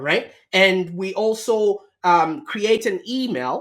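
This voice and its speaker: A man talks in a high voice. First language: not English. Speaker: marketing agency founder. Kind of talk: podcast interview.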